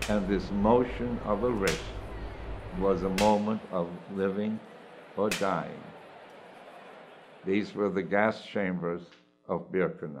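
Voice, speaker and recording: A man's fairly low-pitched voice at a very slow pace, full of long, frequent pauses, over noticeable background noise. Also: ordinary pitch variation. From Germany. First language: German. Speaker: Holocaust survivor. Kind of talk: personal testimony.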